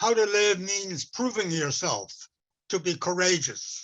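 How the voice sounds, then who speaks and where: A man speaks in a raised, projected voice at a fairly slow pace, his pitch high and his tone bright and sharp. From west coast of Vancouver Island, Canada. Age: 80s+. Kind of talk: talk with storytelling. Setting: webinar. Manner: halting, with repetitions.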